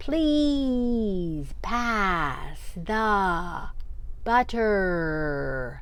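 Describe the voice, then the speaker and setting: The female-sounding voice is a put-on character voice pitched in the middle range. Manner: very loud, exaggerated.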